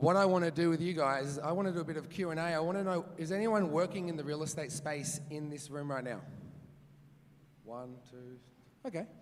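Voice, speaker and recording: Amid audible room echo, a man with an Australian accent speaks at a fairly high pitch with ordinary pitch variation. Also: fairly quick pace. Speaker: real estate agent and auctioneer. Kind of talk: conference talk with audience Q&A. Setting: stage with live audience. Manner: fast; animated.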